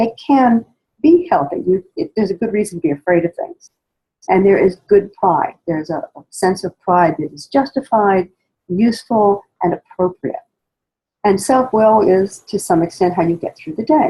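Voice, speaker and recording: Speaking at a moderate pace, a woman with a medium pitch and lively intonation sounds somewhat breathy, her loudness swinging widely in a dry, close recording with no echo. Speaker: spiritual study guide teacher. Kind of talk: spoken lecture introduction. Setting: poor sound quality recording.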